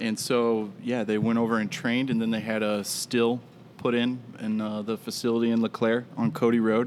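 Monotone, flat intonation in an American accent. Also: man, medium pitch for a man, moderate pace. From Moline, Illinois, US Midwest. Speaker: distillery representative and former bartender. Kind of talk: casual chat, podcast interview.

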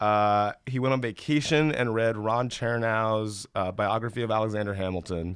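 A plain, everyday voice from a man with an American accent, medium in pitch, at a moderate pace with fairly even intonation. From US South, Columbus, Georgia. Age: 30s. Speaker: film industry figure. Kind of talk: casual chat.

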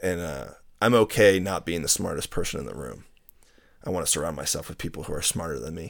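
A man with a very deep, low pitch and vocal fry, talking at a very fast pace with lively intonation, in a very clean recording with a silent background. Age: 20s. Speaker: water polo referee and teacher. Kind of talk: casual chat. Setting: studio.

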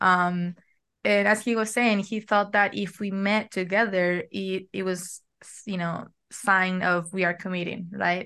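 Over a quiet background, a woman with a bright, sharp tone speaks at a fairly slow pace in a monotone, flat intonation. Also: medium pitch for a woman. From Argentina. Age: 20s. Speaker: matched bride, college student. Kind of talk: interview conversation.

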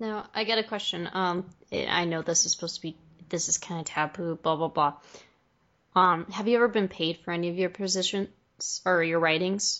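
A woman's normal speaking voice, fairly low in pitch, with fairly even intonation at a moderate pace. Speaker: podcast host and interviewer. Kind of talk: casual interview chat. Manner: friendly, laughs often.

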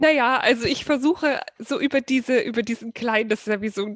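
This woman has a high pitch and ordinary pitch variation. She speaks at a moderate pace in a dry, close sound with no echo. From Saxony, Germany (Dresden). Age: 30s. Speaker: wedding photographer. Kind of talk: casual interview chat.

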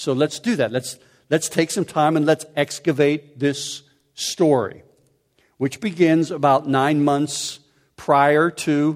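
A man speaks in an ordinary speaking voice with an American accent. His pitch is fairly high. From Pittsburgh area, US. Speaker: pastor. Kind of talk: sermon.

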